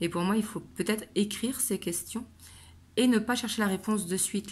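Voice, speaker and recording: Somewhat breathy, a woman speaks at a moderate pace with ordinary pitch variation on a very clean recording with a silent background. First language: not French (speaking French). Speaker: tarot card reader. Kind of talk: tarot reading. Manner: casual, hesitant with fillers.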